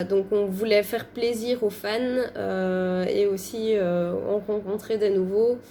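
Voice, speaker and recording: A woman with a medium pitch and a dark, mellow tone speaks. Her delivery is very slow in a monotone, flat intonation. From Belgium. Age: 20s. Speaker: fan page co-admin. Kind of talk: casual interview chat. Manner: hesitant, many fillers.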